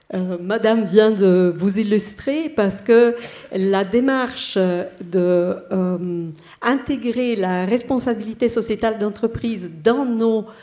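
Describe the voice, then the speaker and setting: Speaking at a very slow pace with an Italian accent, a woman has a fairly high pitch and ordinary pitch variation over noticeable background noise. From Italy. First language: Italian (speaking French). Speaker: bank HR director, panelist. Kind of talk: panel discussion. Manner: halting, many hesitations.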